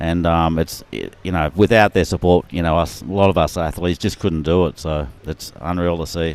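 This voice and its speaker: A man with a very deep, low pitch and an Australian accent, at a moderate pace with fairly even intonation and hardly any pauses. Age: 60s. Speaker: adaptive surfing athlete. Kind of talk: live commentary.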